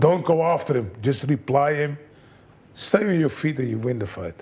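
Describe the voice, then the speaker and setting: Somewhat breathy and dark, mellow in tone, a man speaks at a medium pitch and a moderate pace with ordinary pitch variation. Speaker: kickboxing trainer. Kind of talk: interview.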